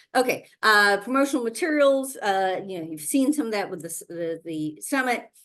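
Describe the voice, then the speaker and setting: With a fairly high pitch, a woman's voice shows very wide pitch swings and big swings in loudness. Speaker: virtual summit host and event organizer. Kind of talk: webinar presentation with slides. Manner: fast; filler-heavy, repetitive restarts.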